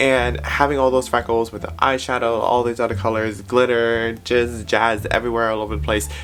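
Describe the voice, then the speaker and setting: Medium pitch from a man at a fairly quick pace, with ordinary pitch variation, hardly any pauses and noticeable background noise. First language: not English. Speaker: makeup YouTuber. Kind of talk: makeup tutorial. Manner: animated; halting.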